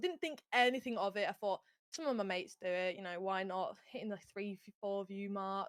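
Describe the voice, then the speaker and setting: A woman with a strong Yorkshire accent, a fairly quick pace and ordinary pitch variation. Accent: broad Yorkshire. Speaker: gaming streamer, content creator. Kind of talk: casual interview chat. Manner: loud when excited.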